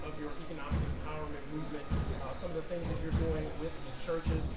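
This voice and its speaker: Loud background noise surrounds speech delivered at a fairly quick pace. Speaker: event interviewer. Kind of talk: interview question. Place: hall. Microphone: camera far.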